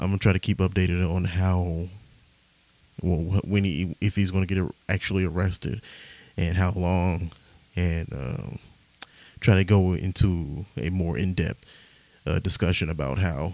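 Quiet and very deep, a man with an American accent speaks at a fairly slow pace with fairly even intonation and long, frequent pauses. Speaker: podcaster and stand-up comedian. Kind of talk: casual rambling podcast monologue with comedy bits. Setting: home, recording late at night. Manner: rambling, halting, self-deprecating, profane; quiet, hushed delivery.

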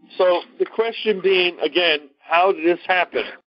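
With a Brooklyn accent, a man talks at a moderate pace in a high pitch for a man, showing ordinary pitch variation. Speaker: discussion leader giving a history lecture. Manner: conversational, lecturing.

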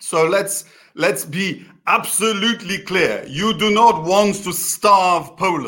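A man's raised, projected voice, high-pitched with a bright, sharp tone, ordinary pitch variation and a very slow pace. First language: Polish. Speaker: interviewer of an online political show. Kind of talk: political interview. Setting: video call.

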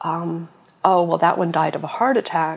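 Fairly even in intonation, a woman with an American accent speaks at a fairly low pitch in a plain, everyday voice. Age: 50s. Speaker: cancer patient and support group founder. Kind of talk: interview conversation.

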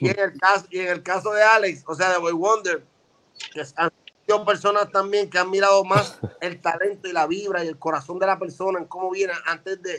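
Raised and projected, a man's high-pitched voice has a bright, sharp tone, fairly even intonation and a fairly quick pace. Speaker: veteran rapper. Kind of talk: casual chat.

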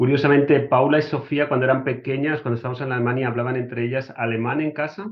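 Here a man has an unremarkable speaking voice, medium in pitch, with fairly even intonation. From Spain (Murcia). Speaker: engineer. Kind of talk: casual interview.

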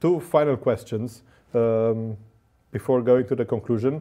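The background is silent and the recording very clean. A man speaks fairly slowly at medium pitch. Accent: Romanian. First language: Romanian. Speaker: podcast host. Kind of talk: interview. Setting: studio.

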